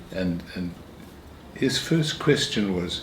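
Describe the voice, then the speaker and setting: A man speaks with very wide pitch swings, with audible room echo and noticeable background noise. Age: 80s+. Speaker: retired minister. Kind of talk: interview.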